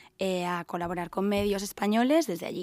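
A woman of medium pitch talks at a fairly quick pace. The recording is very clean, with a silent background. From Andalusia, Seville. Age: 30s. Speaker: stylist and craft brand founder. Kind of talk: interview.

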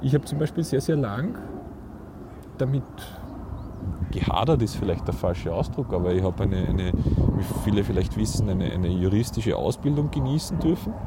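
Over noticeable background noise, a man speaks at a fairly quick pace with very wide pitch swings and long, frequent pauses. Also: fairly low pitch for a man. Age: 40s. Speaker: podcast host, photographer. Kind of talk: casual chat. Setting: outdoors on a park bench. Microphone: mobile mic without windscreen.

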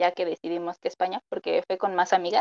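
A woman with a Mexican accent speaks at a medium pitch, the sound dry and close with no echo. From Mexico. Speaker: nutrition student. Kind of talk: casual chat.

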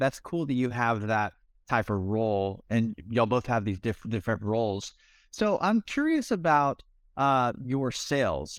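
On a very clean recording with a silent background, a man at a medium pitch uses a normal speaking voice with lively intonation. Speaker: podcast host and contractor. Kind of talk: interview, podcast host.

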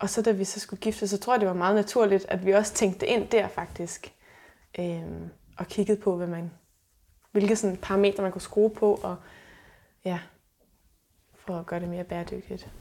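Pausing long and often, a woman speaks at a medium pitch in a dark, mellow tone with monotone, flat intonation. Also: moderate pace, big swings in loudness. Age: 30s. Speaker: sustainability blogger. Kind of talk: casual interview. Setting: at host's home.

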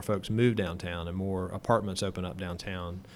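A man's fairly low, bright, sharp voice with an American accent, moderate pace and fairly even intonation. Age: 30s. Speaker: city government official. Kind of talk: interview. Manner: hesitant, many fillers.

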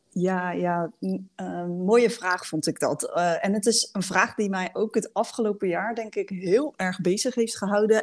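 On a very clean recording with a silent background, a woman with a plain, everyday voice speaks at a medium pitch with fairly even intonation and hardly any pauses. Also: fairly slow pace. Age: 30s. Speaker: leadership coach. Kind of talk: casual chat.

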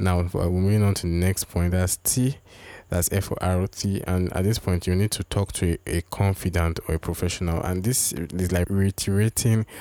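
The tone is dark and mellow, delivered in a flat monotone at a moderate pace. The recording is very clean with a silent background and a dry, close sound with no echo. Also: man. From Nigeria. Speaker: relationship podcast host. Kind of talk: advice monologue.

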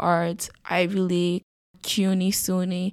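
With a New York accent, a woman speaks at a medium pitch. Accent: New York (Bronx) English. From New York City, the Bronx. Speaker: college student. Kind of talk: casual chat.

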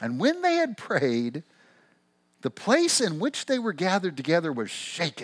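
With an American accent, a man speaks in an animated, warm tone at a high pitch, his pitch swinging very widely. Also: moderate pace. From Missouri, US Midwest. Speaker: pastor. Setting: church with live congregation. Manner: animated, warm, conversational.

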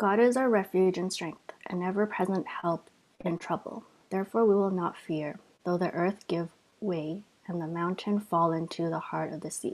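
A woman's fairly low voice, fairly even in intonation and fairly slow in pace, an unremarkable speaking voice. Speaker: scripture reader. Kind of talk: reading aloud.

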